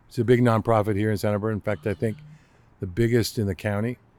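This is a man's voice. His pitch sits in the medium range. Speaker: retired intelligence analyst, zoo train conductor. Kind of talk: casual interview.

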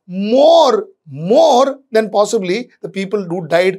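Very slow speech from a man with lively intonation. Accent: Indian. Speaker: managing editor and commentator. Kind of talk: video editorial commentary.

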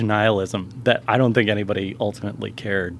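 A man speaks very fast in an American accent. Noticeable background noise is present. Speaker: film critic and writer. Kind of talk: casual chat.

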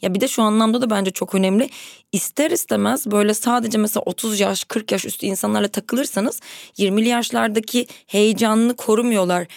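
A woman speaks at a moderate pace with a fairly high pitch and ordinary pitch variation, in a normal speaking voice. The recording is very clean and dry, close-miked with no echo and a silent background. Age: 30s. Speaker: podcaster. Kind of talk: casual chat.

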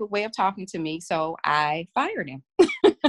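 A woman with a Southern US accent speaks at a fairly slow pace and medium pitch, in a dry, close sound with no echo. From Mississippi. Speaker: physician. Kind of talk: interview.

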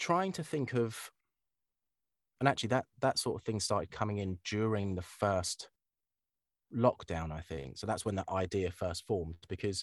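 A man with a southern English accent speaks at a moderate pace, using lively intonation and long, frequent pauses. The recording is dry and close with no echo over a quiet background. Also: fairly low pitch for a man. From Kent, southern England. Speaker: voiceover artist. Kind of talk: casual chat. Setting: home studio.

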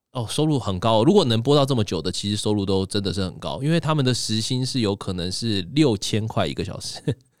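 Very fast and with hardly any pauses, a man talks at medium pitch with lively intonation. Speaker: magician and livestreaming executive. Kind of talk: casual interview chat. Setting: studio. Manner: crisp clear articulation.

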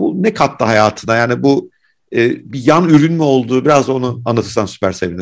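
A man talking at a fairly quick pace, with very wide pitch swings. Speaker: podcast host. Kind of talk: interview.

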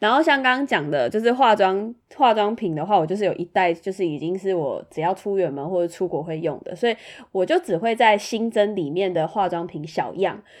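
An ordinary speaking voice moves at a fairly quick pace with lively intonation over a quiet background. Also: woman, medium pitch for a woman. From Taiwan, Tainan. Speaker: podcast co-host. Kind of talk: casual chat.

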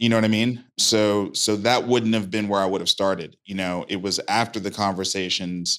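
A man with an American accent, fairly low pitch and fairly even intonation at a moderate pace, on a very clean recording with a silent background. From Brooklyn, New York. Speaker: venture fund founder. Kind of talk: interview. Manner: halting, many repetitions.

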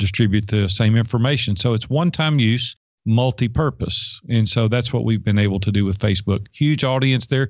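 With a Southern US accent, a man talks at a medium pitch with ordinary pitch variation. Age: 50s. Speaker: life and business coach. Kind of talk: interview.

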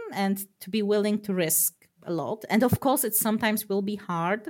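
A woman with a plain, everyday voice and fairly high pitch shows ordinary pitch variation on a very clean recording with a silent background. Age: 30s. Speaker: programmer. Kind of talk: interview.

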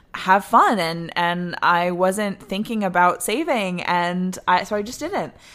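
A woman speaks in an animated tone at a medium pitch and a fairly slow pace, with hardly any pauses and noticeable background noise. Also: ordinary pitch variation. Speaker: actor and singer. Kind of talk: casual chat.

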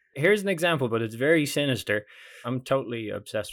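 A man with a Dublin accent talks at a fairly quick pace with lively intonation on a very clean recording with a silent background. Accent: Irish (Dublin). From Ireland, Dublin. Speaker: comedian. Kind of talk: casual chat. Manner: animated.

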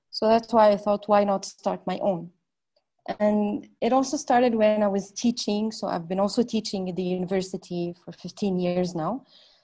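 A woman's medium-pitched, somewhat breathy voice with a dark, mellow tone, at a moderate pace with ordinary pitch variation. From northern Lebanon. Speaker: entrepreneur. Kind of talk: interview.

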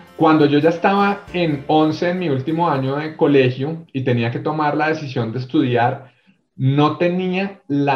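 With a Bogotá accent, a man talks in a fairly high, somewhat breathy voice. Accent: Bogotá Colombian (rolo). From Bogotá, Colombia. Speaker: corporate HR executive. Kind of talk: interview storytelling.

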